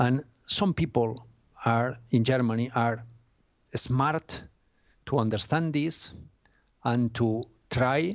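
A man's medium-pitched voice with a Spanish accent and ordinary pitch variation. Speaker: sports journalist and author. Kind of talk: interview. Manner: halting, hesitant English; apologetic.

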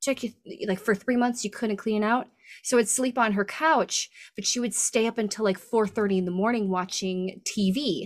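An ordinary speaking voice, a woman with an American accent talks at a moderate pace and fairly high pitch with ordinary pitch variation, on a very clean recording with a silent background. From US Midwest, Michigan. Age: 30s. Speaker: stand-up comedian and voice actor. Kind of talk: casual chat.

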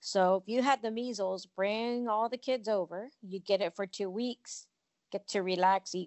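Here is a woman with a normal speaking voice. Her intonation stays fairly even. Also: medium pitch for a woman, moderate pace. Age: 50s. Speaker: company CEO and author. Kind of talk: casual chat.

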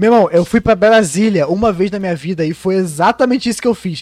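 Fairly quick and high-pitched, a man speaks with ordinary pitch variation in a dry, close sound with no echo. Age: 20s. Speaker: podcast host. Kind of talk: casual chat.

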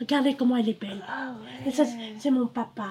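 A woman's high-pitched voice at a moderate pace. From Cambodia. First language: Khmer (speaking French). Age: 60s. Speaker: refugee mother. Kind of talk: personal testimony.

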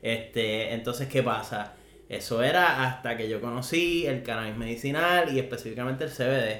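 A man at medium pitch and moderate pace, with ordinary pitch variation and audible room echo. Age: 20s. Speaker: cannabis patient and podcast guest. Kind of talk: casual chat.

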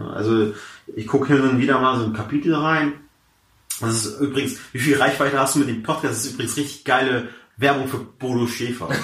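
At a fairly quick pace, a man talks with fairly even intonation amid audible room echo. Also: medium pitch for a man. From Hamburg, Germany, Persian family. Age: 20s. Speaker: comedian. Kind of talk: casual interview chat.

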